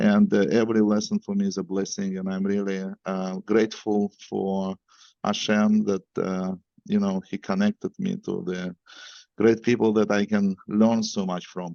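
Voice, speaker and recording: A man with a Russian accent, fairly low in pitch, monotone and flat in intonation, at a moderate pace. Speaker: event organizer and moderator. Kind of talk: event introduction. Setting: video call. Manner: halting, many fillers.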